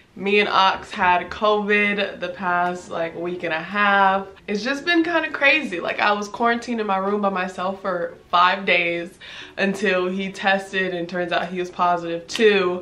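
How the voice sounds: With a Southern California accent, a woman talks at a fairly slow pace with few pauses, her medium pitch showing ordinary variation and her tone bright and sharp, while audible room echo surrounds her. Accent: American, urban Southern California.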